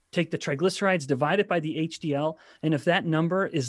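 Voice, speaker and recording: A man with an unremarkable speaking voice talks at a fairly quick pace with ordinary pitch variation, on a very clean recording with a silent background. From Canada. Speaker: scientist and author. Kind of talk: interview.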